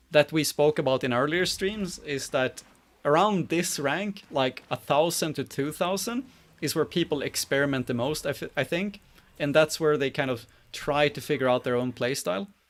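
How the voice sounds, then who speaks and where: The speaker has a Swedish accent. The pace is moderate and the pitch varies in an ordinary way. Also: man, fairly high pitch for a man. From Sweden. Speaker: game community manager and streamer. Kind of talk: live stream commentary. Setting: live stream with webcam. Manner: casual, halting with fillers.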